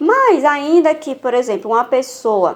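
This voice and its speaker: A woman in a northeastern Brazilian accent over noticeable background noise. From Northeast Brazil. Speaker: women's Bible teacher. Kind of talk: Bible teaching.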